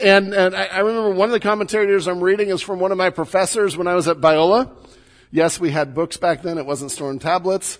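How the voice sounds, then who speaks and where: A man speaks with an American accent. His pitch is high and his pace fairly quick. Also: ordinary pitch variation. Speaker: pastor. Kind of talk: sermon. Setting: church.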